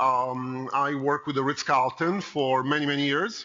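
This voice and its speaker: This speaker talks at a fairly slow pace with a slight Italian accent. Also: man. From Italy (Rome). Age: 50s. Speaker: consultant. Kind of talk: conference talk. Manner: conversational, with fillers.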